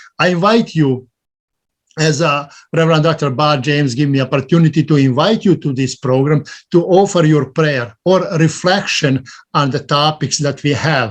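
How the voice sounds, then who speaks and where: With a non-native accent, a man with a fairly high pitch talks at a moderate pace, sounding somewhat breathy, with ordinary pitch variation. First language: not English. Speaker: interfaith clergy member. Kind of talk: invitation and reflection at service.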